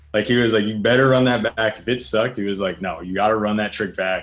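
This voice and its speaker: Over music in the background, a man with an American accent and a medium pitch speaks at a very fast pace. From US East Coast, Reading, Pennsylvania. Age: 20s. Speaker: pro skateboarder. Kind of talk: interview. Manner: casual, filler-heavy.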